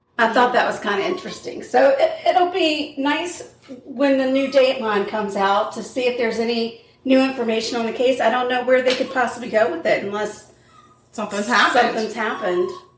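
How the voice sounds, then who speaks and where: Noticeable background noise runs under this recording. A woman speaks at a fairly quick pace in a high pitch. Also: lively intonation. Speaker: true crime podcast co-host. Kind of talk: casual chat, true crime storytelling. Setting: home kitchen.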